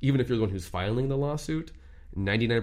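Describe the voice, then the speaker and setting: With an American accent, a man talks at a very fast pace amid audible room echo. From Southern California, Orange County. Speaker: lawyer. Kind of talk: casual interview. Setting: studio.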